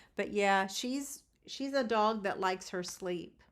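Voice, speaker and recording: Fairly high in pitch, a woman talks at a fairly slow pace on a very clean recording with a silent background. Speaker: sewing livestream host. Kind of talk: casual live stream chat. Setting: live stream, home. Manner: loud. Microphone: testing new equipment, unsure of audio quality.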